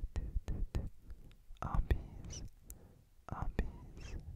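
Someone whispers over noticeable background noise. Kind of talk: ASMR mouth sounds while gaming. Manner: whispered.

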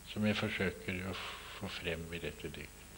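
A man with a fairly low pitch talks over light background noise. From Norway. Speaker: poet. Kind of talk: talk about own poems to an audience. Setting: lecture hall with microphone. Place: classroom. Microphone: podium.

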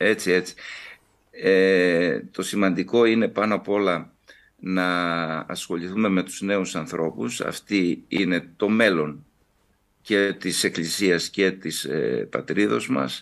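Against a quiet background, a man with a very deep, low pitch speaks at a very slow pace with ordinary pitch variation. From Kavala, northern Greece; northern Greece. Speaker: Orthodox bishop. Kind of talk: TV interview. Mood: calm, earnest. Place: home room. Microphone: video call.

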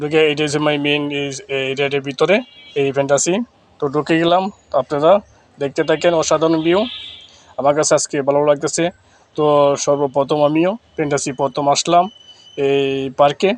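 Noticeable background noise sits behind a man's voice. He has a fairly high pitch and fairly even intonation. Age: 30s. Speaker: content creator and driver. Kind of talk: vlog walkthrough. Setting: outdoors at amusement park. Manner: casual, rambling.

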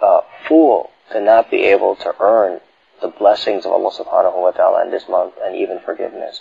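A man talks at a moderate pace. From Chicago, USA. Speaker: Islamic scholar and lecturer. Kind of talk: religious lecture.

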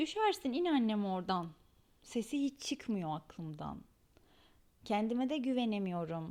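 A fairly high-pitched woman's dark, mellow voice with very wide pitch swings, a fairly slow pace and long, frequent pauses, in a very clean recording with a silent background. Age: 30s. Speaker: podcast host. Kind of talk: personal monologue.

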